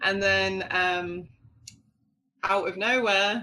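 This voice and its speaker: A woman with a London accent speaks at a medium pitch in a bright, sharp tone, with a quiet background. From London, England. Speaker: knitwear designer. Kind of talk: interview. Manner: casual, many fillers.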